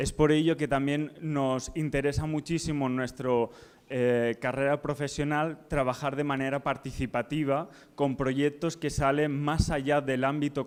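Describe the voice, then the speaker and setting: A man with a plain, everyday voice speaks fairly slowly at a fairly high pitch, his intonation fairly even, on a very clean recording with a silent background. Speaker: architect. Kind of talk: conference presentation.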